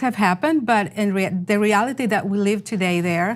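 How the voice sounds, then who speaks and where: A woman's medium-pitched voice with lively intonation at a moderate pace. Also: very clean recording, silent background. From Venezuela. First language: Spanish. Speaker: journalist. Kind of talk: interview. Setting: studio.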